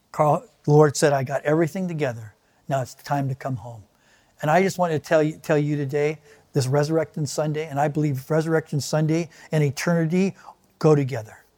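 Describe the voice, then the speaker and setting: Using an ordinary speaking voice, a man talks at a fairly high pitch and fairly quick pace with fairly even intonation. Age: 60s. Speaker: pastor. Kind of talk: sermon. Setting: online video service.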